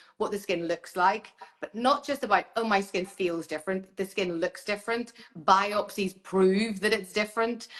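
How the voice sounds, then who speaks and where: With an Irish accent, a woman talks at a moderate pace and a medium pitch, her intonation fairly even. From Ireland. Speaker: dermatologist. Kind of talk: casual interview chat on live stream. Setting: Instagram live video call.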